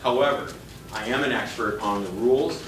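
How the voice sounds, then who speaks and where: A man with an American accent and fairly even intonation, plus audible room echo and noticeable background noise. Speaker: FAA aviation safety official giving a talk. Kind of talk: presentation to a meetup audience. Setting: restaurant meeting room, live audience. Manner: loud. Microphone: no microphone.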